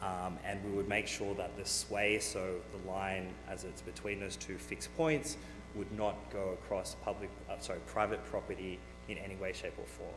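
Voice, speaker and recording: Music plays behind a man with an Australian accent whose very deep, low voice moves at a moderate pace amid audible room echo. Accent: Australian, noticeable. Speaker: renewable energy company manager. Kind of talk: presentation to county board. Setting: county board meeting. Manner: frequent fillers (um, uh).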